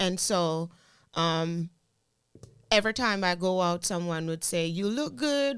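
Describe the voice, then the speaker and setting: In a very clean recording with a silent background, a woman speaks with a strong Jamaican accent. Her pitch is fairly low and her intonation lively. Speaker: teacher and content creator. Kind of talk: casual interview chat.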